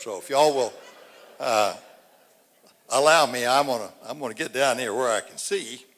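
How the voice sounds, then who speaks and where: On a very clean recording with a silent background, a man with an East Texas accent talks at a fairly quick pace in a medium pitch with ordinary pitch variation. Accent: East Texas Southern US. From East Texas, Angelina County. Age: 80s+. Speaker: local citizen speaker at public forum. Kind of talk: public speech. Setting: civic center stage with audience. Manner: halting.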